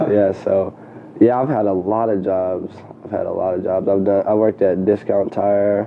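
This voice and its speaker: Over noticeable background noise, a man with an American accent talks at a moderate pace in a fairly low pitch with monotone, flat intonation. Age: 20s. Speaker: entrepreneur, clothing designer and photographer. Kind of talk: casual interview chat.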